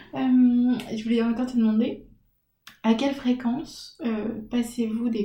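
This woman has a fairly high pitch and a somewhat breathy voice. Her tone is dark and mellow. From French provinces. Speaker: podcast host. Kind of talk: casual interview. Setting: at home.

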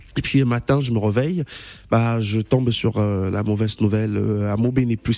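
A man speaks with a Cameroonian accent at a medium pitch. His tone is dark and mellow, and his intonation stays fairly even. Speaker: journalist. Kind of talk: radio interview.

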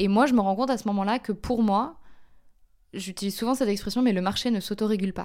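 A woman talks at a very fast pace with a dark, mellow tone, medium pitch and ordinary pitch variation. The recording is very clean with a silent background. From France (Paris). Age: 20s. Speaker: climate and social justice activist. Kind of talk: interview.

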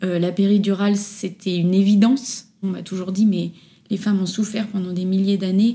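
Somewhat breathy, a woman talks at a moderate pace in a monotone, flat intonation. Her tone is dark and mellow. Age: 30s. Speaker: children's accessories designer, former nurse. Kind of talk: interview testimony. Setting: at home, in person.

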